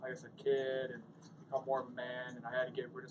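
This is a man speaking. Noticeable background noise is present. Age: 20s. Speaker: MMA fighter. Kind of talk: post-fight interview. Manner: casual. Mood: reflective, earnest. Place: hall. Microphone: handheld.

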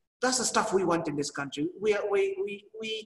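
Amid audible room echo but a quiet background, a man talks at a very fast pace with a high pitch. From Kenya. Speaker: agribusiness executive. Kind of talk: panel discussion. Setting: video call. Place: office. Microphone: video call.

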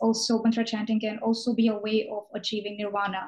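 A woman speaks with a fairly high pitch. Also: quiet background. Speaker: student interviewer. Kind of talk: interview question. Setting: video call. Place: home room. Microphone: video call.

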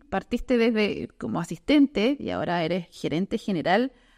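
The woman's voice comes through over a quiet background. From southern Chile. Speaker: podcast host, journalist. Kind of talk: interview. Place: studio. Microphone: studio mic.

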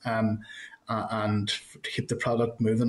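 In a Northern Irish accent, a man speaks at a moderate pace with flat, monotone intonation. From Northern Ireland. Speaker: committee chair. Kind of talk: formal meeting chairing. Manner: hesitant, many fillers. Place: office. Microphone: video call.

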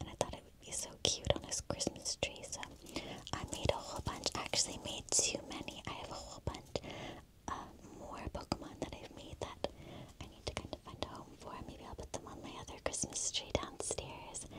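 The words come at a moderate pace while loud background noise fills the recording. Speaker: ASMR creator. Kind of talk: gentle tour commentary. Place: home room.

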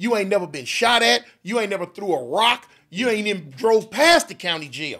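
With lively intonation and a high pitch, a man talks at a fairly quick pace. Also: very clean recording, silent background. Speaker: gang intervention worker. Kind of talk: casual chat.

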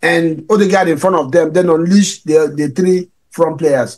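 The background is quiet here. A man speaks at a moderate pace. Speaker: football show host. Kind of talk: post-match fan debate. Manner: halting. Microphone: studio mic.

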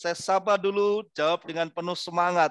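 The background is quiet and the sound dry with no echo as a man speaks at a moderate pace in a high pitch. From East Java, Indonesia. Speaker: motivator and trainer; trainer. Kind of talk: webinar talk. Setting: video call. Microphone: headset.

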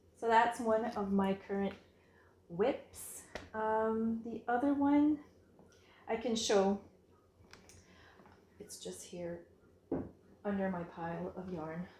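Audible room echo surrounds a woman whose somewhat breathy voice sits at a fairly high pitch with ordinary variation. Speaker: knitting podcast host. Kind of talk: casual chat. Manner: hesitant, many fillers. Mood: warm, enthusiastic. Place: home room. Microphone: phone near.

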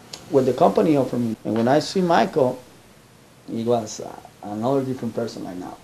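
A man is talking here. The variation in his pitch is ordinary. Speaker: foster care provider. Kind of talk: interview answer. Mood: warm, affectionate. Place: home room. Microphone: camera far.

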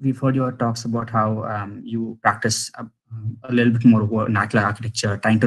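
Fairly quick, somewhat breathy speech from a man. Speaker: architecture student. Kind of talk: audience question. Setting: video call.

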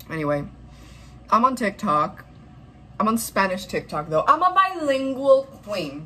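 Very wide pitch swings at a fairly slow pace, broken by long, frequent pauses. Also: woman. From Dominican Republic. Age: 20s. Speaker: YouTube vlogger and college student; vlogger. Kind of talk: casual vlog. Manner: animated. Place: home room. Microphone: phone near.

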